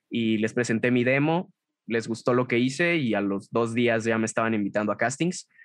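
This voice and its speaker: The speaker talks at a moderate pace in a Mexican accent. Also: man. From Mexico, Guadalajara. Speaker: voice actor and narrator. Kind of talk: interview. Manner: casual.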